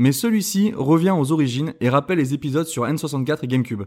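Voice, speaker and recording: A man speaks at a moderate pace with lively intonation. He has an unremarkable speaking voice, captured on a very clean recording with a silent background. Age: 30s. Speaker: video game podcast co-host. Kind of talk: casual chat.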